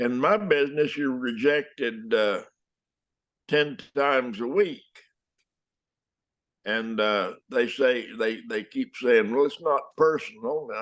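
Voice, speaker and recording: In a West Texas accent, a man speaks very slowly with long, frequent pauses, at a medium pitch with ordinary variation. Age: 80s+. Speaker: actor. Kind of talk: interview answer. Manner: hesitant, halting.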